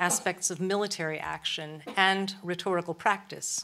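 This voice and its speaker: A woman's bright, sharp tone with fairly even intonation. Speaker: lecturer. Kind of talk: lecture. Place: stage. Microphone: podium.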